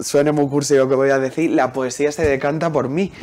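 A man with an ordinary speaking voice talks at a moderate pace and fairly high pitch with fairly even intonation over light background noise. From Huelva, Andalusia, Spain; Andalusia, Spain. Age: young. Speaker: poet. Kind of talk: interview. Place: studio. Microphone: lapel.

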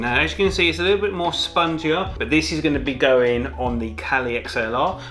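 Faint background music under a male voice at a moderate pace. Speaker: product reviewer. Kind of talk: review talk to camera. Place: home room.

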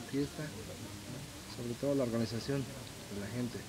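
A man talks at a medium pitch and a fairly slow pace. His intonation is fairly even, with noticeable background noise. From Hidalgo, Mexico. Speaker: local community member interviewed at fair; interviewee. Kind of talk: casual street interview. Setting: outdoors at village fair.

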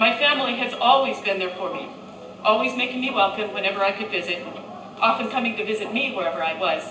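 The speech moves at a very fast pace. There is noticeable background noise. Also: woman. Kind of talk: ceremony speech. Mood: grateful, formal. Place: tent. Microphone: camera far.

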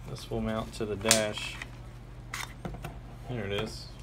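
Noticeable background noise sits under the recording. The speaker moves at a fairly slow pace. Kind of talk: unboxing commentary. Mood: pleased, relaxed. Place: home room. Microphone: phone near.

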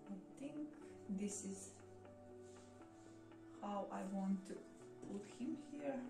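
Over clear background music and audible room echo, a woman speaks at a very slow pace with ordinary pitch variation. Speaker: plant vlogger. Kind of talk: casual tutorial chat. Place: home room. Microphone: camera far.

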